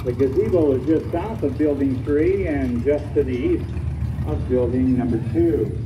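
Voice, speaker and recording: The delivery is moderately paced. Noticeable background noise is present throughout. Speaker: event announcer. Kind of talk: public announcements. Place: open country.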